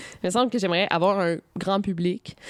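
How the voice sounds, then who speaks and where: A woman at medium pitch, fairly even intonation, on a very clean recording with a silent background. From Quebec. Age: 20s. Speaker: YouTuber and author. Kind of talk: interview. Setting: hotel room.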